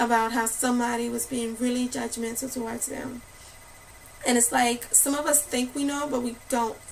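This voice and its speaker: Over noticeable background noise, a woman talks with a high pitch and monotone, flat intonation. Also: moderate pace. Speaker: spoken word poet. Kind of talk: casual talk to camera.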